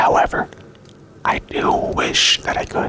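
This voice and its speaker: Whispering over noticeable background noise. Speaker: ASMR creator. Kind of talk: ASMR rambling and self-rated questionnaire. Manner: repetitive, stumbling over words.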